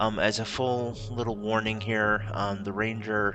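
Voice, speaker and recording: With music in the background and audible room echo, a soft-spoken man talks in a flat monotone at a fairly low pitch. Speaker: tabletop game youtuber. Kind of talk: tutorial. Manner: halting.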